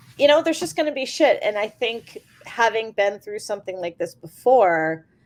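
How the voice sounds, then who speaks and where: A woman speaks loudly, and her pitch swings very widely. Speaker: roller derby coach and skater. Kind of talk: interview. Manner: halting.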